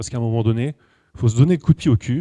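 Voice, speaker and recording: The sound is dry and close, with no echo. A man talks in a dark, mellow tone. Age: 40s. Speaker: numerology speaker and coach. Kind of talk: lecture. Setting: stage with audience. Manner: casual and conversational.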